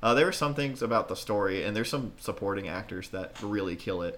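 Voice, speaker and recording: With a bright, sharp tone and lively intonation, a man talks at a very fast pace in a medium pitch. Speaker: podcast co-host. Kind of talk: casual chat.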